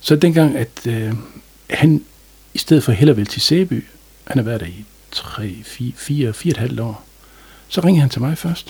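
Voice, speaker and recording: There is noticeable background noise as a man talks fairly slowly with long, frequent pauses. His pitch is medium, his tone calm, and his intonation lively. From North Jutland, Denmark (Aalbæk). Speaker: general practitioner. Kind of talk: interview. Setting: studio.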